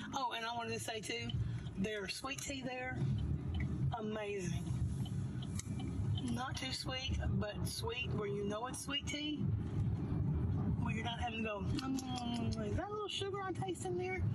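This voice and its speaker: Amid loud background noise, the speaker talks at a fairly slow pace with long, frequent pauses. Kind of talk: casual vlog chat. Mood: cheerful, laughing. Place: car.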